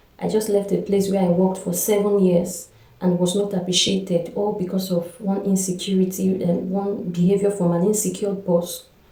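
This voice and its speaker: With noticeable background noise behind her, a woman speaks at a moderate pace in a monotone, flat intonation. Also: medium pitch for a woman, hardly any pauses. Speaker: vlogger, school administrator. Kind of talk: personal vlog testimony.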